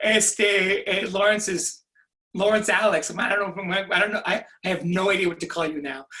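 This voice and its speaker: Using a raised, projected voice, a high-pitched man speaks at a moderate pace with fairly even intonation. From California, Mexican-American family. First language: Spanish. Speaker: author and professor. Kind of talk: author Q&A. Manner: halting, many fillers.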